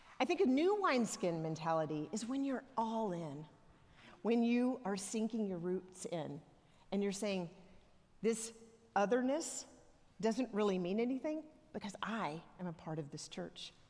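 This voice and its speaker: With a strong Southern US accent, a woman at a medium pitch speaks at a moderate pace, swinging her pitch very widely and leaving long, frequent pauses. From US South, Alabama (near Tuscaloosa). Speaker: church elder, lay preacher. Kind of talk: sermon. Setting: church. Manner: conversational, humorous storytelling.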